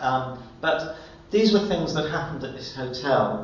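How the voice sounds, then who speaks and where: A man with a British accent, fairly high in pitch, at a fairly slow pace with ordinary pitch variation, amid audible room echo and noticeable background noise. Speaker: law lecturer. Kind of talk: lecture. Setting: presentation to an audience in a room.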